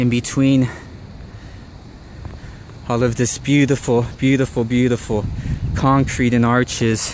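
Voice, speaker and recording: A man speaks at a fairly slow pace with fairly even intonation, the sound dry with no echo and light background noise behind him. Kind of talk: reflective vlog narration. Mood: nostalgic, wistful. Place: street. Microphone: phone near.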